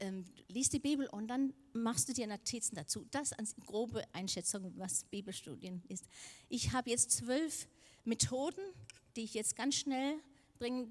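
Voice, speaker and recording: Lively intonation from a woman with a Danish accent, fairly high in pitch, at a fairly slow pace. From Denmark. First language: Danish (speaking German). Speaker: preacher. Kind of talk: sermon.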